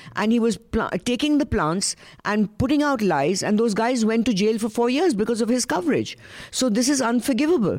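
In an Indian accent, a woman speaks with lively intonation at a fairly high pitch and moderate pace. The recording is very clean, with a silent background. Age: 70s. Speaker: panelist. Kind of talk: panel discussion.

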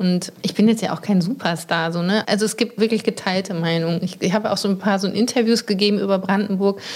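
Noticeable background noise sits behind the speech. The intonation stays fairly even. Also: woman. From North Rhine-Westphalia, Germany. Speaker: journalist and author. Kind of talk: casual chat during a house tour. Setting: at home by a lake.

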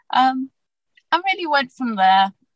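A woman with a British accent speaks at a fairly slow pace, somewhat breathy. The sound is dry and close with no echo. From UK. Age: 40s. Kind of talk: interview.

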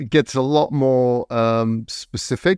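Over a quiet background, a man speaks with an English accent and ordinary pitch variation, the sound dry and close with no echo. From England. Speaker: podcast host. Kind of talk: interview.

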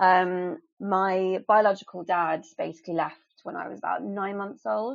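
A woman with a southern English accent talks with big swings in loudness and ordinary pitch variation. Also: medium pitch for a woman, moderate pace. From England. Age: 30s. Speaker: abuse survivor. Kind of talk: personal testimony in interview.

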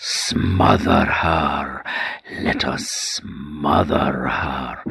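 Putting on a character voice, a man speaks very slowly in a raspy, very deep, low pitch. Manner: whispering, horrible.

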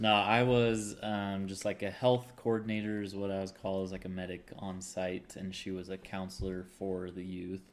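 Speaking at a moderate pace with hardly any pauses, a man keeps a fairly low pitch and a flat, monotone delivery. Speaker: newlywed guest. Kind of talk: casual chat.

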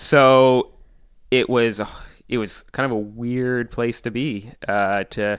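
Recorded very cleanly against a silent background, a man with a Maritime Canadian accent talks at a medium pitch with fairly even intonation. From Prince Edward Island, Canada. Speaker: podcast guest. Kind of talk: casual chat. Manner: talkative.

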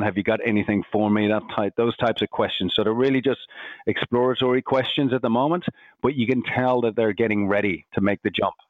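Talking at a fairly quick pace, a man with an Irish accent keeps a medium pitch and fairly even intonation. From Ireland. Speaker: recruitment company founder. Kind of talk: casual interview chat.

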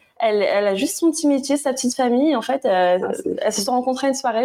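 A woman talks at a very fast pace. Her voice is high, with ordinary pitch variation. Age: 20s. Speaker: barista and proofreader, small business creator. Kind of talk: casual chat.

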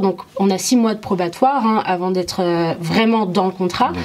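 Background noise is noticeable. The speaker goes at a moderate pace with ordinary pitch variation. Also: woman. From Morocco, moved to France at 8. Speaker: interview guest. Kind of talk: personal testimony.

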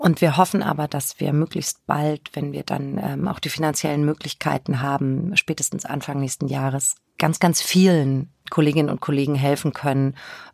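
A woman speaks in a very deep, low voice with fairly even intonation. The sound is dry and close, with no echo. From Germany, Spessart (northern Bavaria). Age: 50s. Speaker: crime novelist. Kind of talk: interview conversation.

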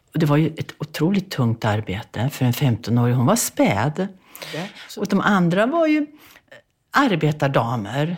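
A woman with a very deep, low pitch sounds somewhat breathy as her pitch swings very widely. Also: fairly slow pace. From Sweden, Bergslagen. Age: 80s+. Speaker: author. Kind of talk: interview.

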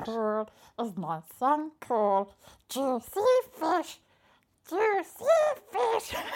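A put-on, female-sounding character voice, high-pitched, very slow, with long, frequent pauses and very wide pitch swings.

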